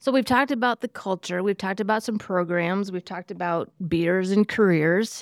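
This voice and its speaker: A woman with an American accent has a plain, everyday voice at a medium pitch, with ordinary pitch variation and a moderate pace. The sound is dry and close with no echo, on a very clean recording with a silent background. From Iowa. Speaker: podcast host. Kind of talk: casual chat.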